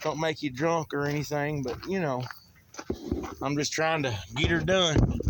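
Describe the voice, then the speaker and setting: Speaking in a Southern US accent, a man with a fairly high pitch talks at a fairly slow pace with long, frequent pauses and fairly even intonation, over noticeable background noise. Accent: country Southern drawl, says he talks funny. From southern Oklahoma. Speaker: mechanic. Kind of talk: casual how-to vlog. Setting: outdoors. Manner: casual, folksy.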